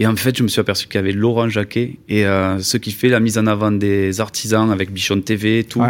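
Fairly low in pitch and monotone, a man speaks at a fairly quick pace with hardly any pauses. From Toulouse, southwest France. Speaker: video maker for construction trades. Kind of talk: interview.

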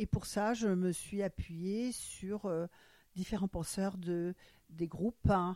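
On a very clean recording with a silent background and a dry, close sound with no echo, a woman speaks very slowly in a dark, mellow tone. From Germany, Frankfurt. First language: German (speaking French). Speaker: retired doctor. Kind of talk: interview. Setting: at her home. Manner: hesitant, many fillers.

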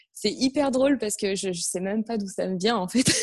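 At a medium pitch, a woman speaks in an ordinary speaking voice. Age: 30s. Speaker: entrepreneur, personal development coach. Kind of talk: interview.

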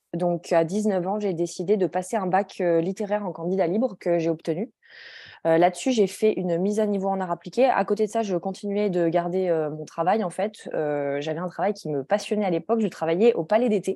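A woman with an unremarkable speaking voice talks at a moderate pace and medium pitch. Her pitch varies in an ordinary way over a quiet background. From France, Grenoble. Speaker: journal creator and publisher. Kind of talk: interview.

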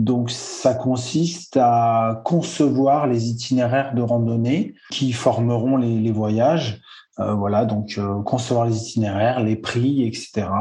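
A somewhat breathy man's voice with a dark, mellow tone, medium pitch and a very slow pace, set against audible room echo. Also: fairly even intonation. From French Alps. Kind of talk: interview.

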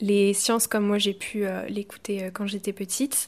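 In a very clean recording with a silent background, a woman speaks at a fairly slow pace and fairly high pitch in an ordinary speaking voice. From Brittany, France. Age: 20s. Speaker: biology student. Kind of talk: scripted narration.

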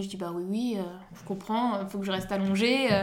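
A woman's medium-pitched voice at a fairly quick pace, with audible room echo. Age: 20s. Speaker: mother sharing birth story, social and family economics counsellor. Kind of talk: testimony. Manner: hesitant, many fillers.

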